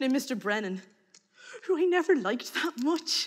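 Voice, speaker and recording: Over a quiet background, a woman with an Irish accent projects a raised voice with a bright, sharp tone, very wide pitch swings and a moderate pace. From Ireland. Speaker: storyteller. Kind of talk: storytelling. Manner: animated. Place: stage.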